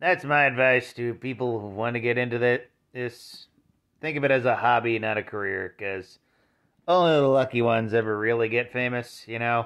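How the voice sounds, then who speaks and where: A man talks at a moderate pace, his intonation fairly even, with a quiet background behind him. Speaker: vlogger. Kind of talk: casual vlog chat. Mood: wry, mildly grumbling. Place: home room. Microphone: phone near.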